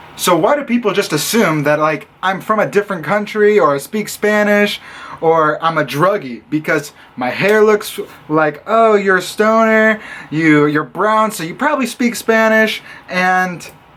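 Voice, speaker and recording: Amid noticeable background noise, a man with an American accent speaks at a high pitch and fairly slow pace, animated in tone with lively intonation. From US Midwest, Illinois. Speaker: vlogger. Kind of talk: vlog rant.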